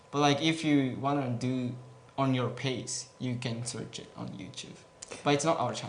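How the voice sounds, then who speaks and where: A man with a Japanese accent, medium pitch, fairly even intonation and a moderate pace, with big swings in loudness, audible room echo and noticeable background noise. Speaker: gaming guild representative. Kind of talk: Q&A interview. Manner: hesitant, many fillers.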